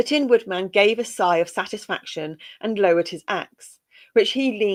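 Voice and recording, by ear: With lively intonation, someone is reading aloud in a natural voice over a quiet background.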